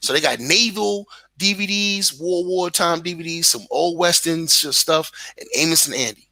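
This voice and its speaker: A man talks in a Brooklyn accent with a bright, sharp tone. His pitch is high, with ordinary variation. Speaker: content creator. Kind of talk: casual chat. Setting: live stream. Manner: animated.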